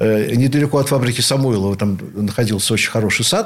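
This man has a plain, everyday voice. He talks at a fairly quick pace with lively intonation. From Leningrad / St Petersburg, Russia. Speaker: rock keyboardist, composer and professor. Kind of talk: radio interview, reminiscing.

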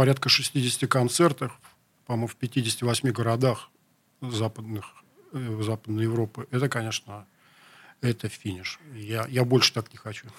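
Pausing long and often, a man speaks at a fairly slow pace with medium pitch, fairly even intonation and a somewhat breathy quality. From Leningrad, city centre. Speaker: rock musician. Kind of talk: interview. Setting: radio studio.

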